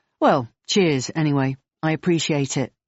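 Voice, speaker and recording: A woman's put-on character voice, raspy and very deep, low in pitch, at a moderate pace. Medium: read story. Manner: gruff, terse, casual slang.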